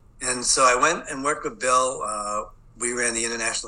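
Amid noticeable background noise, a man with a Boston accent speaks at a fairly quick pace. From Boston, US. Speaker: education expert. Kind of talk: interview. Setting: video call.

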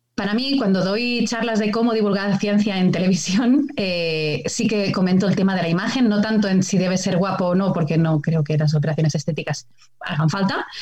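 Amid audible room echo and noticeable background noise, a woman speaks at medium pitch and a fairly quick pace with hardly any pauses, very even loudness and ordinary pitch variation. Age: 30s. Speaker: biologist and TV nature show presenter. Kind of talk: casual chat.

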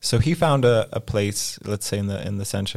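A man with an American accent, fairly low pitch, ordinary pitch variation and a moderate pace. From US West Coast (Los Angeles, California). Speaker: coworking space co-founder. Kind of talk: interview conversation. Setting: studio.

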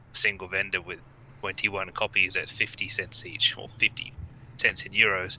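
A man is talking. His delivery is fairly slow. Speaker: card trader. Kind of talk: casual group discussion.

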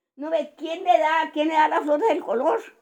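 This woman speaks at a moderate pace with a high pitch. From Costa Rica, Heredia and Montezuma. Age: 80s+. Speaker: grandmother telling life story. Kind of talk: casual chat.

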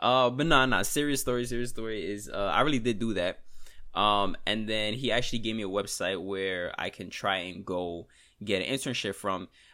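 A man with an American accent, a fairly low pitch, ordinary pitch variation and a bright, sharp tone at a moderate pace, in a very clean recording with a silent background. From New York. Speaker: trader and podcaster. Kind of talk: solo podcast, casual talk. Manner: casual, conversational, venting.

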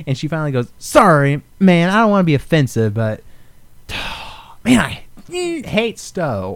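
A man speaks fairly slowly at a fairly high pitch, with very wide pitch swings. Noticeable background noise sits behind him. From Alaska. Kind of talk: casual chat.

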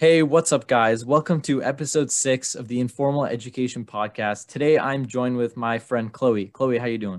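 A man speaks with a normal speaking voice at medium pitch, at a moderate pace. His pitch varies in an ordinary way, with hardly any pauses. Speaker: podcast host, student. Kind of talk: casual chat.

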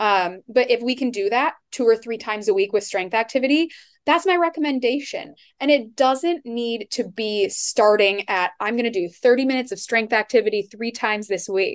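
A woman speaks in a normal speaking voice with an American accent, her fairly high pitch and lively intonation moving at a moderate pace over a quiet background. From Iowa. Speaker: dietitian. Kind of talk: podcast interview.

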